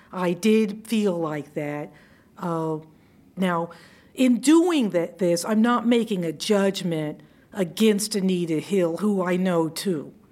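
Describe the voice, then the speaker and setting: At a very slow pace, a woman with an American accent speaks at a medium pitch, her pitch varying in an ordinary way. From US South, Georgia (Savannah). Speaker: retired judge. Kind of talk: interview.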